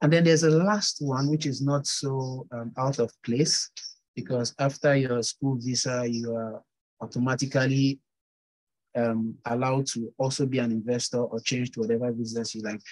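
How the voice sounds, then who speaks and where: A man's fairly even intonation and moderate pace come through over a quiet background. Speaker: guest. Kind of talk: interview answer. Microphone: earbuds.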